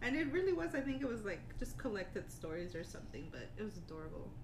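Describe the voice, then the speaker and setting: A woman talks at a very fast pace. Noticeable background noise runs underneath. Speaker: podcast co-host.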